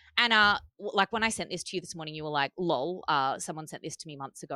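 A woman talking very fast in a fairly low pitch, bright and sharp in tone, with lively intonation, on a very clean recording with a silent background and a dry, close sound with no echo. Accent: Australian. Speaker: podcast host, mother. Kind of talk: casual chat.

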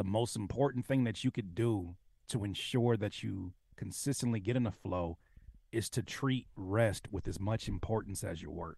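Dark and mellow, a man's fairly low voice is somewhat breathy. He speaks at a moderate pace with ordinary pitch variation. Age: 30s. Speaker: music producer and rapper. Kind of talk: casual chat.

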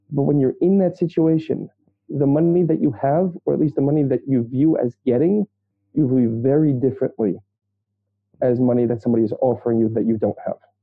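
A man with an American accent, fairly high in pitch and fairly quick, with ordinary pitch variation and very even loudness. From Brooklyn, New York. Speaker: social worker and therapist. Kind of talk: interview conversation.

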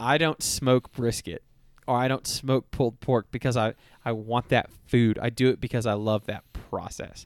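In a normal speaking voice, a man with an American accent talks at a moderate pace with fairly even intonation, the sound dry and close with no echo. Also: medium pitch for a man. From Texas (Houston). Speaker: podcast host. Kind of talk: casual chat; announcement.

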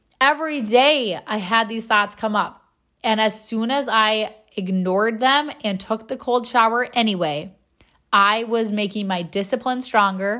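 A woman's fairly high-pitched voice with a bright, sharp tone. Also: ordinary pitch variation, fairly slow pace, very clean recording, silent background. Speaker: podcast host. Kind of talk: motivational monologue.

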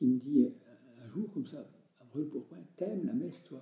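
A man's dark, mellow voice, fairly high in pitch with vocal fry and very wide pitch swings, at a moderate pace. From France, Jura. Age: 70s. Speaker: retired country priest. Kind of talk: interview.

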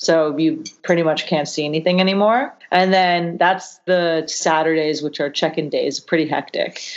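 A woman with a Canadian accent and an unremarkable speaking voice talks at a moderate pace and a fairly low pitch, with fairly even intonation and hardly any pauses. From Canada. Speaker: yacht chef and hostess. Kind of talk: casual chat.

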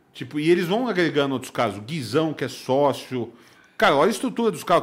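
A man speaks with a high pitch at a fairly quick pace. His pitch swings very widely. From São Paulo, Brazil. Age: 40s. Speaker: poker instructor and commentator. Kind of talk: casual interview. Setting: studio.

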